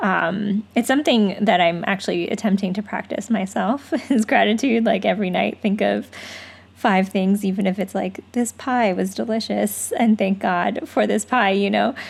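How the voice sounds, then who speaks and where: A woman with vocal fry speaks at a medium pitch and moderate pace, with ordinary pitch variation. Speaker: podcast host. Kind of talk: interview podcast conversation.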